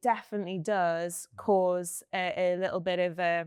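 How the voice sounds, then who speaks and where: A woman with a Geordie accent speaks fairly slowly in a medium pitch, her intonation monotone and flat, over a quiet background. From Newcastle, northeast England. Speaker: company founder. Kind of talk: panel discussion. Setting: recorded panel at a science campus venue.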